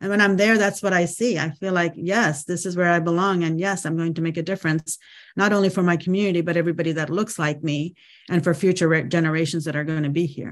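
A woman's fairly low pitch at a very fast pace, with fairly even intonation and a quiet background. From India, Andhra Pradesh. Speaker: politician. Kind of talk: interview.

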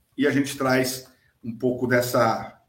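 The man's pitch is medium. He talks at a fairly slow pace. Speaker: podcast host on electrical safety. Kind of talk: live-streamed casual chat. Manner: hesitant, many fillers.

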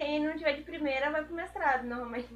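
A woman speaks at a fairly quick pace in a raised, projected voice, with a high pitch and ordinary pitch variation. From Pernambuco and Pelotas, Brazil. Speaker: agricultural engineering student. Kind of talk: casual chat.

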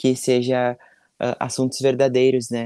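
Recorded with a dry, close sound and no echo, a man speaks at a medium pitch in a dark, mellow tone. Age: 20s. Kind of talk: interview.

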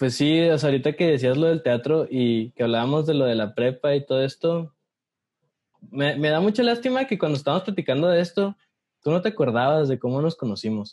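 A man's fairly high voice with lively intonation, very even loudness and a fairly quick pace. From Mexico, Ciudad Juárez, Chihuahua. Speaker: podcast co-host, communications student. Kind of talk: casual chat. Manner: animated.

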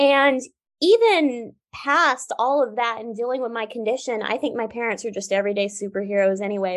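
This is a woman with an unremarkable speaking voice. She talks at a moderate pace. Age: 20s. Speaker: Paralympic swimmer and author. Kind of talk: interview conversation.

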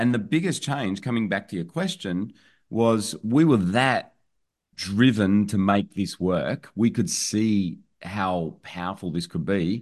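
With an Australian accent, the speaker talks at a fairly slow pace with lively intonation against a quiet background. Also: man, fairly low pitch for a man. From rural New South Wales, Australia. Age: 50s. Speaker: online business owner and educator. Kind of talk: podcast interview.

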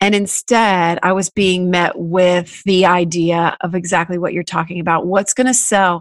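A woman with a normal speaking voice, fairly low pitch and fairly even intonation, at a moderate pace with hardly any pauses, in a dry, close sound with no echo against a quiet background. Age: 40s. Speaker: musician and radio host. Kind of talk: casual chat.

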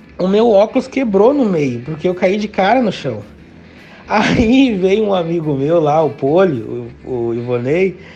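A man talks fairly slowly in a high pitch, his voice making very wide pitch swings. Noticeable background noise runs behind him. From Rio Grande do Sul, Brazil (Novo Hamburgo area). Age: 30s. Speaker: gaúcho dance teacher. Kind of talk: casual interview chat.

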